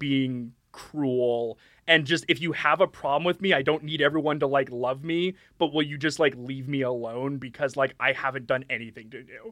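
Moderate pace and ordinary pitch variation in a man's normal speaking voice, fairly high for a man. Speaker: podcast co-host. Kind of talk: casual chat with improv bits.

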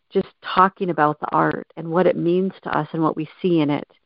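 A woman with a fairly low pitch and fairly even intonation has an ordinary speaking voice. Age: 50s. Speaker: abuse survivor and recovery coach. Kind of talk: interview.

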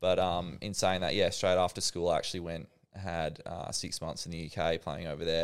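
With an Australian accent, a man speaks at a very fast pace. He leaves hardly any pauses. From Western Australia, Perth. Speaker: professional cricketer. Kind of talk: casual interview.

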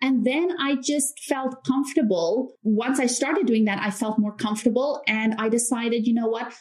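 With hardly any pauses, a woman with an American accent speaks at a moderate pace in a high pitch with ordinary pitch variation. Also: very even loudness. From South Africa. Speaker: YouTube creator. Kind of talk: casual interview chat. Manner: laughs often.

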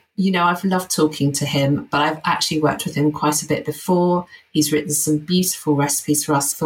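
The intonation stays fairly even, and the voice has a somewhat breathy quality. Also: woman. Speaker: co-host. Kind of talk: casual interview chat.

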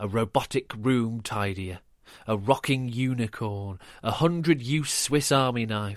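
Someone reads aloud in a natural voice. Ordinary shifts in pitch run through it.

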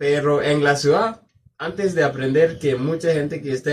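This man's voice is fairly high and somewhat breathy, moving at a moderate pace. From southern Kenya. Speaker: university student. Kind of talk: casual interview. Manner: halting.

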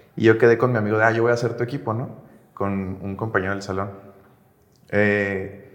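There is audible room echo around a man speaking. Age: 20s. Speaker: software engineer and agency founder. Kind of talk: interview. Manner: casual, hesitant with fillers.

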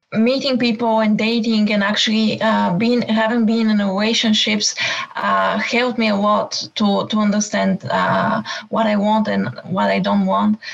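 With a non-native accent, a woman speaks at a moderate pace and very even loudness over noticeable background noise. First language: not English. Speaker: coaching caller. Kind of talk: coaching call. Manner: halting, many hesitations.

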